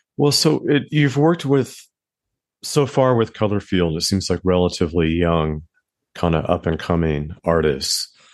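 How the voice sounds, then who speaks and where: A man with an American accent talks at a moderate pace in a very deep, low pitch that swings very widely. His loudness stays very even against a quiet background. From Southern California. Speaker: magazine founder and podcast host. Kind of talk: interview.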